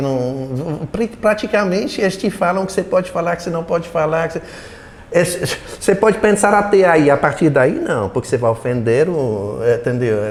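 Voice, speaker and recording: Against noticeable background noise, a man with a high pitch speaks with very wide pitch swings. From Belgium. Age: 70s. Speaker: retired political science professor. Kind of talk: interview. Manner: halting, many repetitions.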